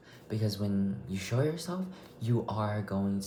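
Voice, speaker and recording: A man with a fairly low voice speaks amid noticeable background noise and audible room echo. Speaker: vlogger. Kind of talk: casual monologue. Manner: loud; halting, rambling delivery.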